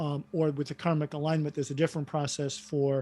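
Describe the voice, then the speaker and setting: A man's fairly high-pitched voice with a dark, mellow tone and monotone, flat intonation. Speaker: workshop facilitator and coach. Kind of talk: online workshop group discussion.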